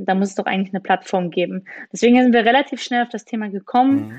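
A woman with an unremarkable speaking voice talks fairly high in pitch, with ordinary pitch variation. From Rhineland, Germany. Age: 30s. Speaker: startup founder. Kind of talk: interview.

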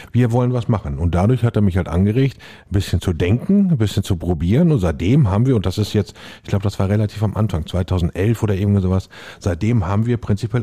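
A man with a fairly low pitch speaks at a very fast pace, his somewhat breathy voice dark and mellow, with lively intonation. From Lippe, Germany. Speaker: chef and restaurateur. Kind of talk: casual chat.

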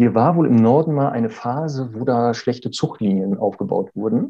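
Medium pitch, ordinary pitch variation and moderate pacing from a man in a normal speaking voice. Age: 40s. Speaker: dog trainer. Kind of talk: interview.

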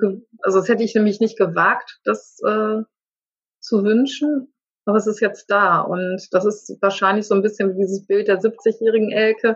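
A woman speaks at a moderate pace in a fairly high, somewhat breathy voice, her intonation fairly even and her loudness very even. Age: 50s. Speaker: life coach. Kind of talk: interview. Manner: halting.

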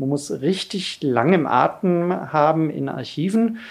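Over a quiet background, an ordinary speaking voice carries lively intonation. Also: man. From Lower Bavaria (Bavarian Forest), born in Ulm. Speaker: political science professor. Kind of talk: interview. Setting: studio, in person.

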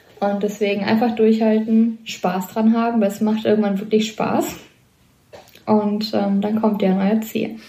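In a room with audible echo, a woman speaks at a fairly slow pace and a fairly high pitch. Her tone is dark, mellow and somewhat breathy, with monotone, flat intonation. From Lower Rhine, Germany. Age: 20s. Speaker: hospital medical technician. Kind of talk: casual interview.

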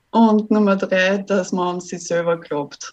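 Speaking very slowly, a woman uses a medium pitch. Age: 20s. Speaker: virtual assistant. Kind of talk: interview.

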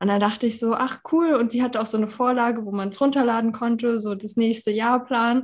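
A woman with an unremarkable speaking voice, fairly high in pitch, at a moderate pace with fairly even intonation against a quiet background. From Germany, Berlin. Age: 30s. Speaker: women's health consultant. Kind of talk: casual interview.

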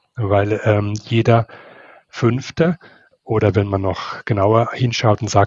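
A man speaks at fairly low pitch. His voice is somewhat breathy. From not Switzerland. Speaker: theologian and ethicist. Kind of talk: interview. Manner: halting.

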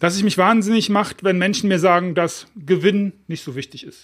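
The man's voice sits high in pitch, on a very clean recording with a silent background. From Germany, Düsseldorf. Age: 50s. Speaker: podcast host, author coach. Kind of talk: solo podcast monologue.

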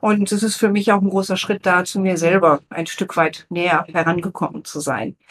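A woman with an unremarkable speaking voice talks at medium pitch and a moderate pace. Her intonation is fairly even, with hardly any pauses. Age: 50s. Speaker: guest interviewer, former corporate PR manager. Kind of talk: interview questions. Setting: studio, seated at a table together.

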